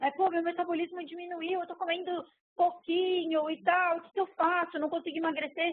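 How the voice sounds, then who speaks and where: Her pitch is extremely high and her intonation fairly even. The woman speaks at a fairly quick pace. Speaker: sports nutritionist. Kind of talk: online lecture. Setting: speaking to a computer, webcast talk. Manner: fast.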